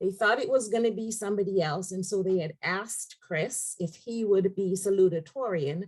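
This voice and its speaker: A woman speaks with an American accent. Her voice is somewhat breathy, at a moderate pace. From outside the United States. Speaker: executive director of a community education nonprofit. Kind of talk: panel webinar introduction.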